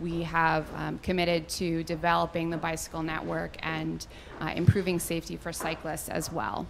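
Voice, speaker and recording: A woman talks at a moderate pace while noticeable background noise plays. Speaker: presenter. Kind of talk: public presentation. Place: hall. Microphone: handheld.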